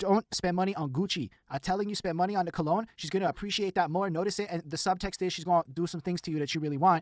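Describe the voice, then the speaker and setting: With a Montreal accent, a man talks at a very fast pace with hardly any pauses, high in pitch and animated in tone, in a dry, close sound with no echo. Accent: Canadian English (Montreal). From Montreal, Quebec, Canada. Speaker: podcast host. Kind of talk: casual chat. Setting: live stream.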